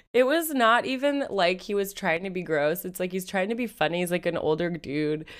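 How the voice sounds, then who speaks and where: At a fairly quick pace with hardly any pauses, a woman with an American accent and an ordinary speaking voice talks at medium pitch with lively intonation on a very clean recording with a silent background. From Seattle, US Pacific Northwest. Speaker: podcast host. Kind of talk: casual chat.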